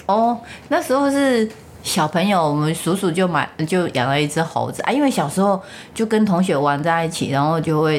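The voice moves at a moderate pace with very wide pitch swings. Its loudness stays very even. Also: woman, fairly low pitch for a woman. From Taiwan, rural Changhua County. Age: 50s. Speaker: mother of the host. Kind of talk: casual family interview. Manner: put-on careful retroflex enunciation.

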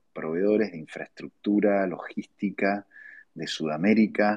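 This is a man with a normal speaking voice and a fairly low pitch. He talks at a moderate pace in a dry, close sound with no echo. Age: 40s. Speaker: entrepreneur. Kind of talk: interview.

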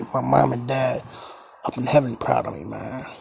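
Moderately paced male speech amid clearly audible background noise. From Baltimore, Maryland. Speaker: podcast host. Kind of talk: casual solo podcast monologue. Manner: halting, stumbling, repeats words; informal, conversational.

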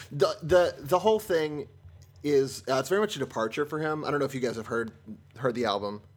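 Music plays in the background as a man with an American accent talks at a fairly quick pace. His pitch is fairly high and his intonation lively. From Seattle, US. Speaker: guest co-host, actor. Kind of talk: casual podcast chat.

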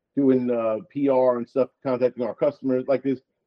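A man talks at a fairly quick pace. He has a normal speaking voice. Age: 40s. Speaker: co-owner of a men's grooming brand. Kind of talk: casual interview chat.

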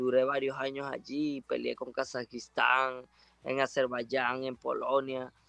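The pace is fairly slow. The sound is dry and close, with no echo. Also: man. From Venezuela, Ciudad Bolívar. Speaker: professional boxer. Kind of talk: interview. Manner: halting.

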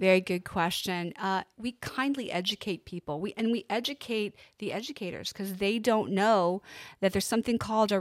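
A woman with an ordinary speaking voice and an American accent speaks at a medium pitch and moderate pace with ordinary pitch variation, her sound dry and close with no echo on a very clean recording with a silent background. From Pennsylvania. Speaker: nonprofit ministry leader. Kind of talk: interview. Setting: studio.

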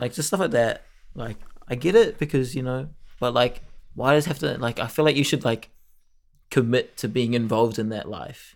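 With long, frequent pauses, a man speaks in a New Zealand accent with ordinary pitch variation. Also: medium pitch for a man, moderate pace. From New Zealand, Auckland. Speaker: podcast co-host. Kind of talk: casual chat. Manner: animated.

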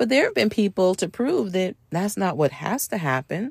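On a very clean recording with a silent background, a woman speaks at a fairly slow pace with vocal fry. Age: under 65. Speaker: podcast host. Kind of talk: solo podcast monologue. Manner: conversational.

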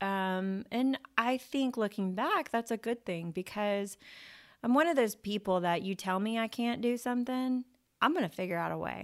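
A woman's fairly high, unremarkable speaking voice at a moderate pace with ordinary pitch variation, in a very clean recording with a silent background. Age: 40s. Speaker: podcast host and insurance entrepreneur. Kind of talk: monologue podcast talk. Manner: casual, with frequent filler words.

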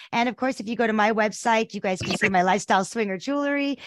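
Her tone animated, a woman speaks at a medium pitch with ordinary pitch variation. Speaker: podcast host. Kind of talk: interview. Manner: animated, chatty.

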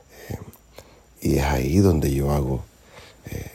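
Speaking at a fairly slow pace, a man with a very deep, low pitch comes through noticeable background noise. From Nicaragua. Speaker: singer-songwriter. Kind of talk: interview. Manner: halting, with many fillers.

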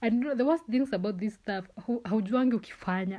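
A woman speaks in a fairly high pitch with an animated tone, lively intonation, and a somewhat breathy quality. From Kenya, Kisii (Keumbu). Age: 20s. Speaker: podcast host. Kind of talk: casual solo monologue. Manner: animated, frequent laughter.

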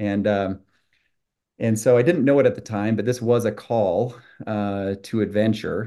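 Against a quiet background, a man with an American accent speaks at a moderate pace with a fairly low pitch, a dark, mellow tone and fairly even intonation. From Utah. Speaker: company CEO. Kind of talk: interview. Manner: halting, many fillers.

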